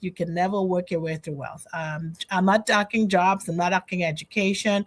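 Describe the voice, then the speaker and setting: A woman speaks at a moderate pace in a Trinidadian accent. Her pitch is medium, with ordinary variation. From Trinidad and Tobago. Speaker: financial educator. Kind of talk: interview conversation.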